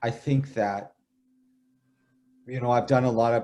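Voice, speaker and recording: Dark, mellow tone with a Canadian accent and ordinary pitch variation. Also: man. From Canada. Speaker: author and poet. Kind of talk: interview. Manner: halting.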